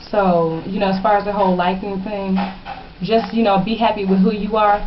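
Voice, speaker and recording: The speech is monotone with flat intonation, and background noise is noticeable. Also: woman, medium pitch for a woman. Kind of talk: casual advice talk to camera.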